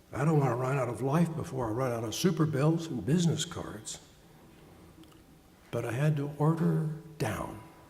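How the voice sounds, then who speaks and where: The voice moves at a moderate pace with ordinary pitch variation and long, frequent pauses, and audible room echo surrounds it. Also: man, fairly high pitch for a man. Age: 70s. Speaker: pastor and psychotherapist. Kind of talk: sermon.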